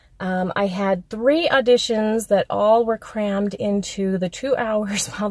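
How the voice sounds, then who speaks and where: A fairly high-pitched woman's voice with hardly any pauses, amid noticeable background noise. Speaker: actress. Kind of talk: casual talk to camera. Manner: rambling, hesitant.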